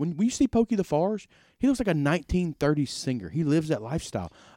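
In a Mississippi accent, a man talks at a very fast pace with a dark, mellow tone, fairly high pitch and very wide pitch swings. The recording is very clean with a silent background and a dry, close sound with no echo. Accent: US Southern (Mississippi). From Mississippi Delta (Indianola). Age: 30s. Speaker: podcast host. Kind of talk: casual chat. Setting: in a converted bank venue downtown.

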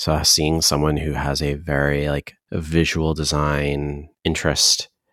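In a dry, close recording with no echo, a man speaks with a very deep, low pitch and fairly even intonation. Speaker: podcast host. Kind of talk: casual interview chat.

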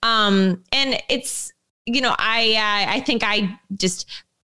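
A woman speaks with a fairly high pitch. Her tone is bright and sharp. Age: 20s. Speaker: running podcast co-host and coach. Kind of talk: casual chat.

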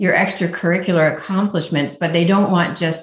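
A woman with an American accent speaks at a fairly low pitch, somewhat breathy, with ordinary pitch variation. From Indiana. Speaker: college application essay coach. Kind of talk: radio interview.

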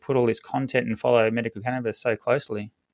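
Against a quiet background, a man talks with an Australian accent. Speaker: health podcast host. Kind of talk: interview.

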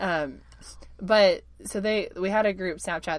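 With vocal fry and fairly even intonation, a woman speaks. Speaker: podcast co-host, newcomer stage actor. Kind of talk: casual chat. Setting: recording in a closet.

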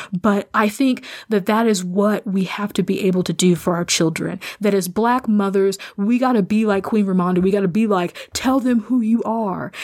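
A woman with an American accent speaks at a moderate pace and medium pitch. Her intonation is fairly even and her loudness very even. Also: very clean recording, silent background. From rural US Midwest. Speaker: podcast host. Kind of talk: personal monologue. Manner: halting.

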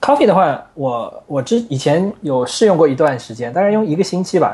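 Dark and mellow in tone, a man's fairly high voice moves through very wide pitch swings. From China, Wuxi (Jiangsu). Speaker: software engineer and framework author. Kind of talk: technical interview chat. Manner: animated.

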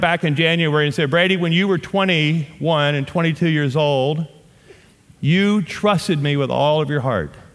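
A man with a Southern US accent talks at a moderate pace in a high pitch, with ordinary pitch variation and very even loudness. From US South. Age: 50s. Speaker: guest pastor. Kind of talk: sermon. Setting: church. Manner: animated.

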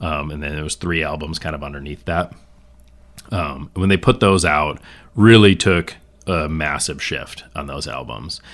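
With an Upper Midwest accent, a man speaks at a very deep, low pitch and a moderate pace, with ordinary pitch variation. His voice shows vocal fry and big swings in loudness. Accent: Upper Midwest American. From northern Michigan. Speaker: music fan, father. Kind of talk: casual chat.

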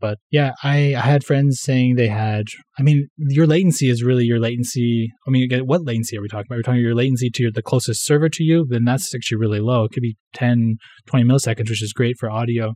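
Speaking very fast in a Western Canadian accent, a man has a dark, mellow tone, medium pitch and fairly even intonation, with a dry, close sound and no echo. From Canada, Vancouver (west coast). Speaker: software developer. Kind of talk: casual interview chat.

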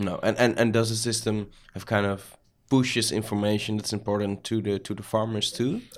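On a very clean recording with a silent background, a man with a Dutch accent speaks at a fairly quick pace, fairly low in pitch, with fairly even intonation. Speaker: podcast host. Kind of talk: interview. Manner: halting.

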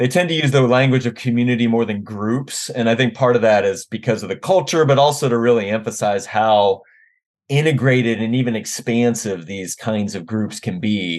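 With a General American accent, a man talks at a moderate pace in an unremarkable speaking voice against a quiet background. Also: medium pitch for a man, ordinary pitch variation. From US, Washington D.C. area. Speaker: theology professor. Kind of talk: interview conversation.

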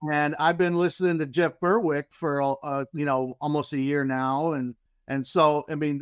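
Recorded with a dry, close sound and no echo, a man speaks at a moderate pace in a fairly high pitch with fairly even intonation. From Central Florida. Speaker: crypto newcomer. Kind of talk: presentation. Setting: remote call. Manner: halting.

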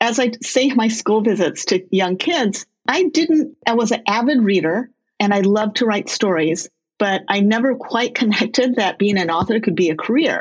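A somewhat breathy woman with an American accent and very even loudness. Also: fairly high pitch for a woman, lively intonation, moderate pace. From California. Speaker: children's book author. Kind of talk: interview.

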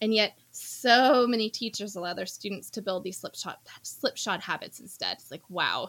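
Talking at a moderate pace with an American accent, a woman uses a medium pitch and ordinary pitch variation, with big swings in loudness. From US Midwest, Indiana. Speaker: homeschooling mother, education graduate. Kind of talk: casual chat.

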